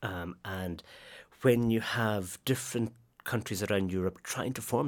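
A man's fairly low voice in a Highland Scottish accent, at a moderate pace with fairly even intonation, on a very clean recording with a silent background. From northwest Scotland. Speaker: literature academic. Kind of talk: interview.

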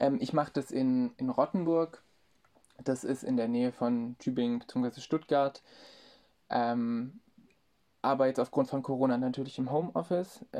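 A man with a dark, mellow tone speaks at medium pitch and a fairly slow pace, with long, frequent pauses and fairly even intonation against a quiet background. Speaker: marketing intern. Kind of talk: interview. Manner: hesitant, many fillers.

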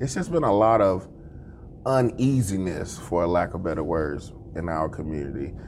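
His voice sits very deep and low, and this man talks at a moderate speed. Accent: American. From Mississippi, US South. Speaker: school district administrator. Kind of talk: interview.

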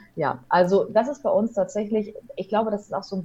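A woman's medium-pitched voice, somewhat breathy, with a dark, mellow tone. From Ruhr area, Germany (Hamm). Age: 30s. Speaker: wedding officiant and radio presenter. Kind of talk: casual interview. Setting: online call.

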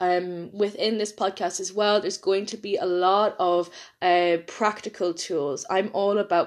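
A woman with an Irish accent speaks at medium pitch and a moderate pace, with hardly any pauses. Her intonation stays fairly even against a quiet background. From Ireland. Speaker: podcast host, nutrition coach. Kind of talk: solo podcast monologue.

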